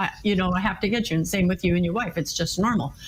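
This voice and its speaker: Noticeable background noise runs under the recording. A woman speaks with an American accent. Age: 60s. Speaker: marriage and communication expert, author. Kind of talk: interview.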